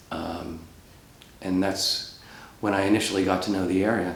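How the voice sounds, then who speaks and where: Over noticeable background noise and audible room echo, a man speaks in a fairly low voice with an American accent. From Rhode Island, US. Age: 60s. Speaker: professional planner, oral history interviewee. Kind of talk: oral history interview. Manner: hesitant, many fillers.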